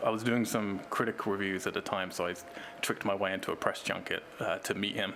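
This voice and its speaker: The intonation stays fairly even. There is noticeable background noise. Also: man. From England, Cambridge. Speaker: film director and writer. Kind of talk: interview. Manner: hesitant, many fillers.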